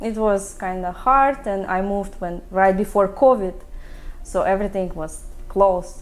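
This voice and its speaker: With music in the background, a woman speaks at a moderate pace in a Russian accent. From Russia (Chelyabinsk, near Kazakhstan border). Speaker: sushi chef. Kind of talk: interview. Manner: halting.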